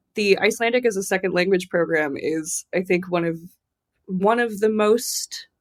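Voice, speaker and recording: A woman with a plain, everyday voice speaks at a moderate pace and medium pitch with ordinary pitch variation. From US Southwest, Tucson, Arizona. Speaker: literary translator. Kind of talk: interview conversation. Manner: casual, filler-heavy with repetitions.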